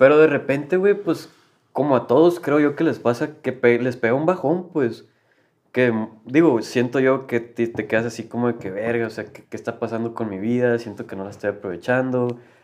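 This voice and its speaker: Over a quiet background, a man with a Mexican accent speaks at medium pitch and a moderate pace, his pitch varying ordinarily while his loudness swings widely. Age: 20s. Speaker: university student. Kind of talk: casual chat.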